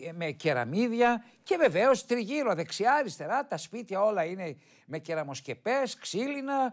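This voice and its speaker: A man's fairly slow speech with very wide pitch swings, over a quiet background. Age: 70s. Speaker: TV host on local history; TV presenter. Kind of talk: televised history talk with photos. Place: studio. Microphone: lapel.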